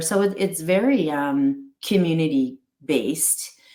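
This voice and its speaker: This is a woman speaking. Her pitch sits fairly low. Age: 60s. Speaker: holistic veterinarian and pet company founder. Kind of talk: casual interview conversation. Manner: halting, many repetitions and fillers.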